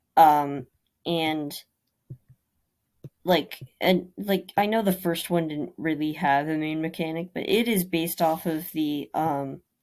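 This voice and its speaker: A woman with a very deep, low voice speaks at a fairly slow pace with ordinary pitch variation and long, frequent pauses, in a very clean recording with a silent background. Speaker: indie game developer. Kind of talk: casual devlog narration over screen footage. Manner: stuttering, halting.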